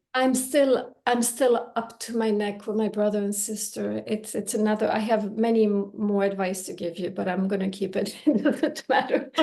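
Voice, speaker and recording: Hardly pausing, a woman with a fairly high pitch speaks at a moderate pace in a Swedish accent. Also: ordinary pitch variation. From Belgium (Brussels), Finnish-Swedish family. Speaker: language teacher. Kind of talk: casual chat. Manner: halting, repeats words.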